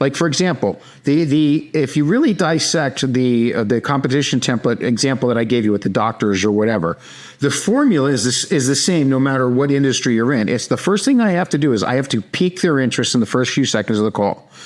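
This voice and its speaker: This man talks at a very fast pace in a New York accent, his pitch medium, his loudness very even and his intonation lively. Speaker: sales trainer, company founder. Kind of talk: podcast interview. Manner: direct.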